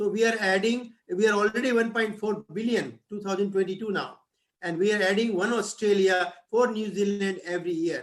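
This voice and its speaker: A man's high-pitched voice with an Indian accent and fairly even intonation. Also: moderate pace. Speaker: professor. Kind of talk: lecture. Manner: halting.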